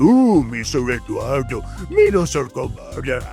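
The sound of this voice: Over clear music in the background, a man uses a put-on character voice at a fairly slow pace.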